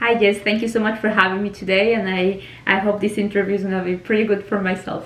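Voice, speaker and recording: A woman with a Spanish accent, monotone and flat, at a very fast pace. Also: medium pitch for a woman. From Venezuela. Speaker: immigration consultant, mock job candidate. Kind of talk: mock job interview.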